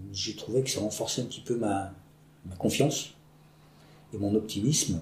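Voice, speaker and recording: Somewhat breathy and dark, mellow in tone, a man's voice shows ordinary pitch variation amid audible room echo. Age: 50s. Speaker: PE teacher. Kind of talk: interview. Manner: halting.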